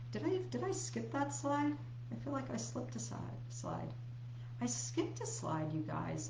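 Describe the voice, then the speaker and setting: Room echo is audible as a woman speaks at a moderate pace. Noticeable background noise runs under her voice. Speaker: health coach. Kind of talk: live stream presentation. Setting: live video stream.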